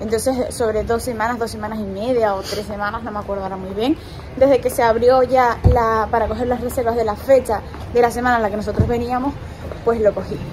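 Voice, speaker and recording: A woman's flat, monotone delivery at a fairly quick pace, with noticeable background noise. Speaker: travel vlogger. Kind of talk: casual vlog chat. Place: street. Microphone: phone near.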